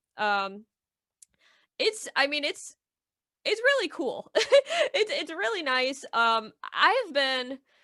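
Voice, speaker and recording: Raised and projected, a woman's high-pitched, bright, sharp voice with an American accent comes at a very slow pace with long, frequent pauses. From Michigan. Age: 20s. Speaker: Etch-a-Sketch artist. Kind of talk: casual interview chat.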